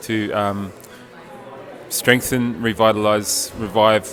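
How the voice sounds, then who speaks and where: A man with an Australian accent, music in the background. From Australia, East Coast. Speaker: linguist, conference participant. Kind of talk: interview testimonial.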